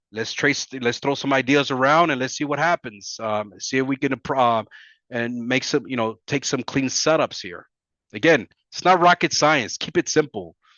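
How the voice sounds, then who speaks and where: This is a plain, everyday voice at a moderate pace, with ordinary pitch variation. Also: man. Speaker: forex trading educator. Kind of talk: tutorial.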